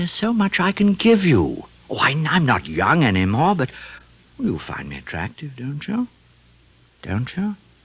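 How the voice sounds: Very wide pitch swings mark a man's put-on character voice, which has a slightly husky edge and a fairly slow pace. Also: fairly high pitch for a man.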